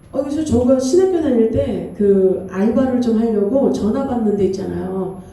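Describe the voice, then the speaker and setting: Amid noticeable background noise and audible room echo, a woman talks fairly slowly. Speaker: pastor. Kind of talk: sermon. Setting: church. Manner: authoritative.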